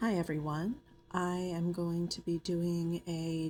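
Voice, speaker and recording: The speaker is soft-spoken and somewhat breathy. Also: woman. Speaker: nail artist. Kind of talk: tutorial voiceover. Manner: soft-spoken, ASMR style.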